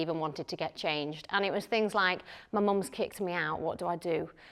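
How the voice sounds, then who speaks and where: This voice has a northern English accent and a bright, sharp tone, with ordinary pitch variation. The recording is very clean, with a silent background. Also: woman. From northern England, Lancashire. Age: 20s. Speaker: psychotherapist and missionary. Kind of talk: conference talk. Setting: conference session with audience.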